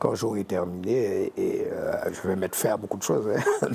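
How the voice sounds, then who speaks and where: A man talks while noticeable background noise goes on around him. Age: 60s. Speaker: painter and art teacher. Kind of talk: interview. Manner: halting, many repetitions.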